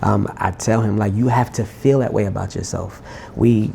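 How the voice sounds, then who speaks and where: The speaker is soft-spoken, talking at a moderate pace with ordinary pitch variation. Noticeable background noise runs underneath. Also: man. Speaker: R&B singer-songwriter. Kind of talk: interview.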